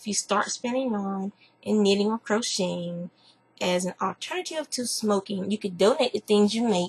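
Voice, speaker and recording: This woman speaks with a Southern US accent, somewhat breathy, with ordinary pitch variation. The sound is dry and close with no echo. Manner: casual, chatty.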